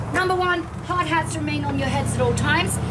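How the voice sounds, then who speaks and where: Speech moves at a moderate pace beneath loud background noise. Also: woman. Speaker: mine museum tour guide. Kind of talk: tour guide presentation. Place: station. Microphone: camera far.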